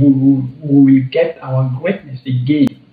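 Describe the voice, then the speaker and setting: A man with a non-native accent, a fairly high pitch and a somewhat breathy voice at a moderate pace. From Cameroon. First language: French. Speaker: travel vlogger. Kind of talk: casual vlog commentary. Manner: halting, many repetitions.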